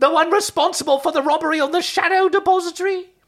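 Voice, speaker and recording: A man puts on a squeaky character voice at an extremely high pitch. He talks at a very fast pace. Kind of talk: shrill old lady comic voice. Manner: accusing, doom-laden.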